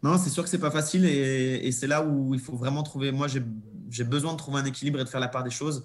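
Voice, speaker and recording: A man's fairly high, somewhat breathy voice at a fairly quick pace, with hardly any pauses. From Monaco. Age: 30s. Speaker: professional cyclist. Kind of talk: interview. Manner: hesitant.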